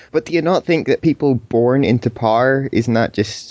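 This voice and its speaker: A plain, everyday voice: a man at a medium pitch, moderate pace and ordinary pitch variation. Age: young. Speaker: podcast host. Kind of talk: casual chat. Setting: online voice call.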